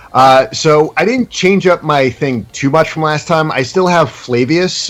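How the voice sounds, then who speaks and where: Noticeable background noise sits behind lively intonation delivered at a moderate pace. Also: man. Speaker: competitive gamer and musician. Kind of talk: casual explanation. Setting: Skype call. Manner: hesitant, many fillers.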